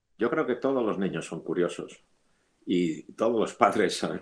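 The speaker has a Castilian accent. The pace is moderate. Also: man. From Spain, Madrid. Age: 70s. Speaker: theoretical physicist. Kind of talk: interview.

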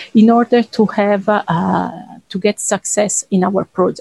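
A woman speaks at medium pitch with an Italian accent and ordinary pitch variation. Her pace is very slow, and the sound is dry and close with no echo. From Italy. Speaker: cancer researcher. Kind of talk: interview.

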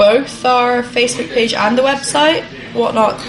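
Music plays in the background as a woman speaks at a moderate pace. Her fairly high voice keeps fairly even intonation. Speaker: restaurant owner, podcast co-host. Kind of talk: casual chat, podcast.

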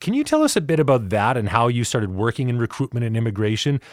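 Lively intonation runs through this very fast delivery. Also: man. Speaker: podcast host. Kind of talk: interview. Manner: formal.

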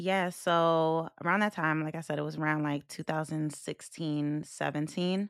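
A woman with a very deep, low pitch speaks in a New York accent with monotone, flat intonation. The sound is dry and close with no echo, on a very clean recording with a silent background. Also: moderate pace. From US Northeast (Long Island, New York). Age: 30s. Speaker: stripper and trafficking survivor. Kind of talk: testimony.

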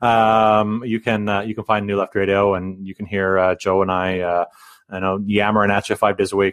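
A man with a Canadian accent, fairly low in pitch, at a moderate pace, in a monotone, flat intonation. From British Columbia. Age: 40s. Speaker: union rep and podcast co-host. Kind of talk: casual interview.

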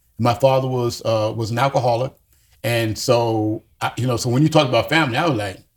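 Somewhat breathy, a man at a medium pitch speaks with an American accent. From US Northeast, Yonkers, New York. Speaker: podcast co-host. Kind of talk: casual chat. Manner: halting.

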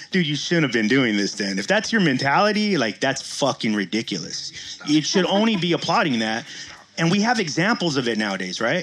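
Noticeable background noise sits behind a man talking at a fairly quick pace. His pitch makes very wide swings. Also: fairly high pitch for a man. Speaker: co-host. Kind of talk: casual podcast banter.

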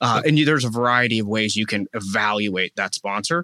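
Bright, sharp tone from a man with lively intonation, in a dry, close recording with no echo. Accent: American. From Pittsburgh area, Pennsylvania. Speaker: real estate investor.

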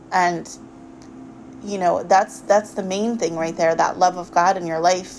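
Noticeable background noise surrounds a woman whose medium pitch moves with fairly even intonation. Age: 30s. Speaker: podcast host. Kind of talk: religious monologue. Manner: hesitant, many fillers.

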